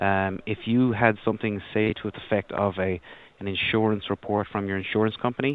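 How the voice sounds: A man speaks at a fairly quick pace in a fairly low pitch. His intonation stays fairly even.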